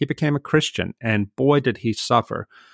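On a very clean recording with a silent background, an ordinary speaking voice moves at a fairly quick pace with ordinary pitch variation. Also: man. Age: 50s. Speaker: author and writer. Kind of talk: interview.

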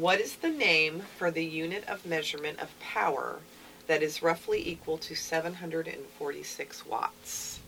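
A woman speaks at a very slow pace. Noticeable background noise can be heard. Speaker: radio co-host, library communications staff. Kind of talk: casual radio talk show chat. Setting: radio studio.

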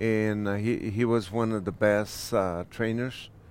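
A man talks with a Mexican accent. His intonation is monotone and flat. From Michoacán, Mexico. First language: Spanish. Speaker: restaurant owner. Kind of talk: casual interview. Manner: halting; soft-spoken.

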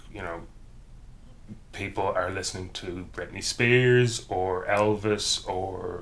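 With an Irish accent, a man talks very slowly at a fairly low pitch. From rural Ireland; County Cavan, Ireland. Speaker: university professor. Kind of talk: casual interview chat.

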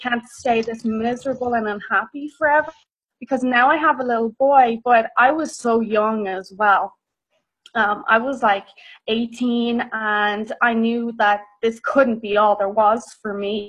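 Speaking with a Dublin accent, a woman keeps a fairly high pitch, fairly even intonation and a fairly slow pace. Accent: Irish (Dublin). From Ireland, Dublin. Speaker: nutritional therapist and personal trainer. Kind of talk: interview, casual chat.

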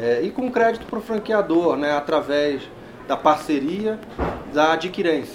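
Lively intonation carries at a moderate pace through audible room echo and noticeable background noise. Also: man. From Rio de Janeiro, Brazil. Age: 40s. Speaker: fintech executive. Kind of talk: interview. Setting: trade fair.

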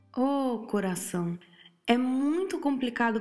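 A woman speaks with a fairly high pitch. Audible echo from the room surrounds her voice. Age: 30s. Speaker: podcast host giving relationship advice. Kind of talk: casual advice monologue. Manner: informal, chatty.

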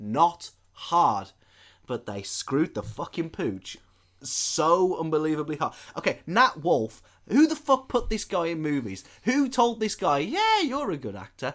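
Speaking fairly slowly in a very clean recording with a silent background, a man uses a fairly high pitch with very wide swings. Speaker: podcast host, film reviewer. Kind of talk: casual chat.

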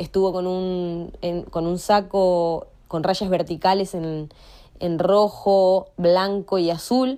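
A woman speaks at a very slow pace and medium pitch. Her intonation is fairly even. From Argentina, Paraná (Entre Ríos). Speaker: fan giving testimony. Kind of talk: recorded testimony.

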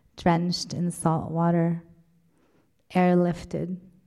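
At a very slow pace, a woman with a fairly low pitch speaks in a dark, mellow tone. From Lebanon. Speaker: poet. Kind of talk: poetry reading. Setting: stage with audience.

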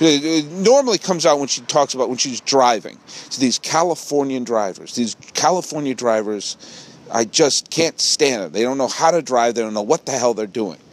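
Against noticeable background noise, a man with an American accent talks at a moderate pace in a medium pitch, his intonation lively. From New England, Massachusetts and Connecticut. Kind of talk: solo podcast monologue. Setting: outdoors.

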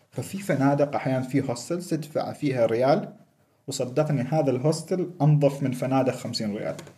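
At a moderate pace, a man with a fairly high pitch, a dark, mellow tone and a somewhat breathy sound speaks with ordinary pitch variation. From Oman. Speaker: world traveler. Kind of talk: casual chat.

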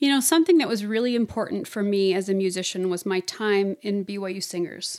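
With a normal speaking voice, a woman talks at a fairly quick pace and medium pitch, using ordinary pitch variation. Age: 30s. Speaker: voice teacher and singer. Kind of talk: casual interview chat.

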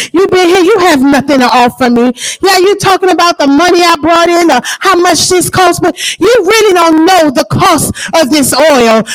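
Over noticeable background noise, someone with an American accent speaks at a moderate pace in an animated tone with lively intonation. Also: woman. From New Orleans, Louisiana, US South. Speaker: church elder, preacher. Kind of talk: sermon. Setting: church with congregation and online audience.

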